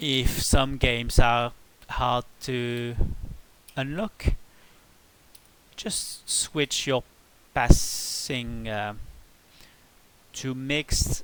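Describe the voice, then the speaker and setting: At a very slow pace, a man speaks at a medium pitch with ordinary pitch variation, big swings in loudness and long, frequent pauses. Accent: French. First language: French. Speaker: video game tutorial creator. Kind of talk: tutorial. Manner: halting.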